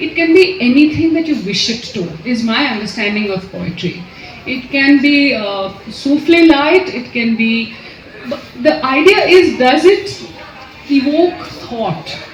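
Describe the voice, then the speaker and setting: High-pitched woman's voice with very wide pitch swings and big swings in loudness, plus audible room echo and noticeable background noise. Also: fairly slow pace. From India, Kolkata. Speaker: author. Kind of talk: interview at book launch event. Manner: hesitant, many fillers.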